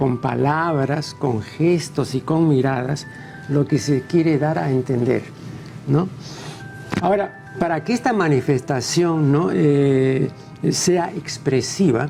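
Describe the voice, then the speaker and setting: A man speaks very slowly at a fairly high pitch, with ordinary pitch variation. His loudness stays very even, and music plays in the background. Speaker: TV interviewer, intellectual. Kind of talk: interview question.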